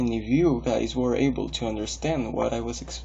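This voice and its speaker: Room echo is audible in this recording. The man keeps a moderate pace. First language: Spanish. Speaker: english learner. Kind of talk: recorded video monologue. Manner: hesitant with fillers and repetitions.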